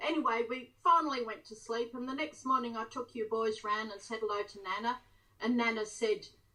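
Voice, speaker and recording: A woman's fairly high voice at a moderate pace, ordinary pitch variation, noticeable background noise. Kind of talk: interview answer.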